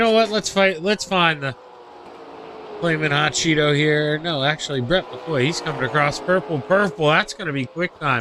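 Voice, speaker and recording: Loud and fairly high-pitched, a man talks with ordinary pitch variation over noticeable background noise. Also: moderate pace. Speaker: sim racing commentator. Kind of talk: live commentary. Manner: normally loud.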